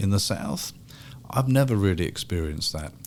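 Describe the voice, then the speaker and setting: A man speaks with a British accent. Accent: British, BBC-like. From England, London. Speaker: history professor. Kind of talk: casual chat. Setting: studio.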